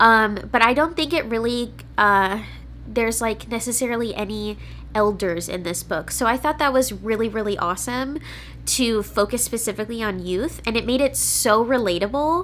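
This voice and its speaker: Speaking at a moderate pace with some vocal fry, a woman uses a fairly high voice with ordinary pitch variation over light background noise. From California, US. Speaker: book reviewer and YouTuber; book reviewer, YouTuber. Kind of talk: casual vlog-style book review. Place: home room.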